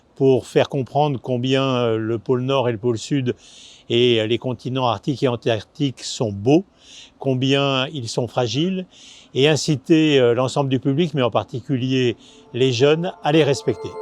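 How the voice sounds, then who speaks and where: A man talks at a fairly slow pace, at medium pitch with ordinary pitch variation. The sound is dry and close with no echo, and the background is quiet. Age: 60s. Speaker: foundation president. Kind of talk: video presentation. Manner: hesitant with many filler sounds.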